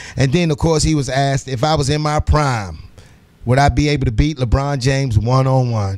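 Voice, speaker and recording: With music in the background, a man speaks at a fairly quick pace and medium pitch, using ordinary pitch variation. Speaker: radio sports news segment host. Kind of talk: morning radio show sports news report. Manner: casual, chatty, energetic.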